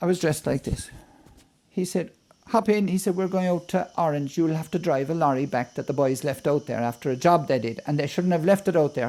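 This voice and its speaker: An Irish accent marks this man's fairly high-pitched voice, dark and mellow in tone. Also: ordinary pitch variation, fairly quick pace. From Ireland. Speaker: poet. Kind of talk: storytelling interview.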